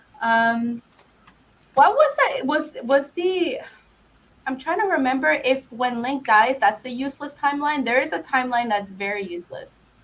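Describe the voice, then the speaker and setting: A woman speaks at a high pitch with a non-native accent. Her intonation is lively, with big swings in loudness. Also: moderate pace. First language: not English. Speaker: podcast guest, gaming fan. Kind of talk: casual chat. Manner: halting.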